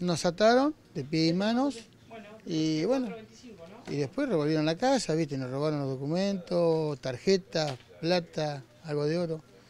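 Light background noise accompanies a man speaking at a fairly slow pace. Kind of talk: interview answer. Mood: shaken but calm. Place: shop. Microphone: handheld.

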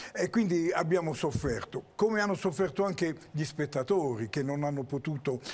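This man's voice is somewhat breathy and fairly high in pitch. His intonation is lively. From Apulia, Italy. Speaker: actor and theatre director; actor. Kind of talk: TV interview. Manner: animated. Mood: animated, storytelling. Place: studio. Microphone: lapel.

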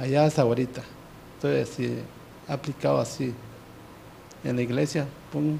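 Speaking at a moderate pace with long, frequent pauses, a man with a medium pitch, vocal fry, a dark, mellow tone, and fairly even intonation comes through over light background noise. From Yucatán Peninsula, Mexico, Maya village. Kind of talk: testimony. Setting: TV studio. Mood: earnest personal confession. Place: studio. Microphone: handheld.

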